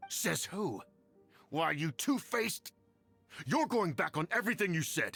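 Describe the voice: In a put-on character voice, a man speaks at a fairly slow pace and fairly high pitch, with big pitch swings. His fairly bright tone has a slightly husky edge and vocal fry, while faint music plays in the background.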